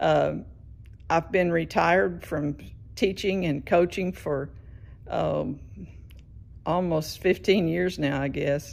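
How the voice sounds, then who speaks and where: Talking very slowly, a woman leaves long pauses often between her words. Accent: Southern US. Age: 70s. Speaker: patient, retired teacher. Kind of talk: recorded video message. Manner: halting.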